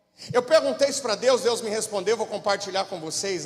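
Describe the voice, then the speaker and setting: The speaker is a man with a high pitch and ordinary pitch variation. Noticeable background noise runs behind him. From interior of São Paulo state, Brazil. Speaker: pastor. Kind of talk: sermon.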